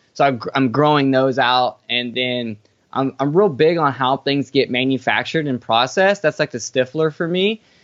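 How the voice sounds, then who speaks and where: Speaking at a moderate pace with an American accent, this is an unremarkable speaking voice with ordinary pitch variation. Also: man, medium pitch for a man. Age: 30s. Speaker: farmer and herbal product formulator. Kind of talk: casual interview chat.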